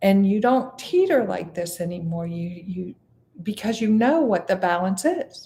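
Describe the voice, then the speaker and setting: A somewhat breathy woman's voice at medium pitch, very slow in pace, with lively intonation. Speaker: meditation teacher. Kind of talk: meditation class teaching, casual talk. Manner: relaxed, conversational.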